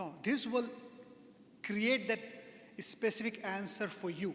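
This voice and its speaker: A man speaks with a non-native accent and a high pitch. His pitch varies in an ordinary way over noticeable background noise. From India. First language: not English. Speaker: software consultant, speaker. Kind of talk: lecture. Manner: halting.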